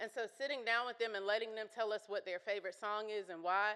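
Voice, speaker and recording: A woman talks loudly in a bright, sharp tone at a fairly high pitch. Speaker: consultant and youth program presenter. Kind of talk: conference presentation. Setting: conference breakout session with audience.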